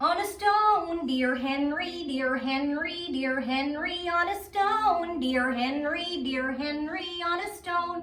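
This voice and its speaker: A woman speaks in a put-on character voice pitched extremely high. She talks at a fairly slow pace, with audible echo around her. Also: ordinary pitch variation. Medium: read story. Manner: bossy, repetitive.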